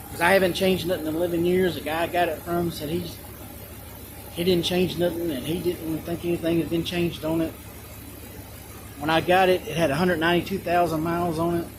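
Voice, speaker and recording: A man's very fast, monotone delivery with flat intonation, long and frequent pauses, and noticeable background noise. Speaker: vehicle owner vlogger. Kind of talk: casual show-and-tell. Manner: halting.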